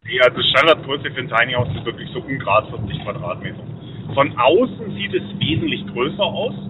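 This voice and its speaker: Noticeable background noise sits behind a man's fairly high voice. He speaks at a moderate pace with lively intonation. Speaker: caller. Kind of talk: casual chat. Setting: phone call.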